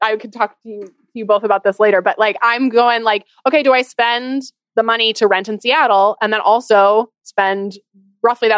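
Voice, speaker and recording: A woman with a normal speaking voice talks at a fairly high pitch and a moderate pace, with ordinary pitch variation and a dry, close sound with no echo. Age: 20s. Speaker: personal finance expert and business owner. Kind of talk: interview on a podcast.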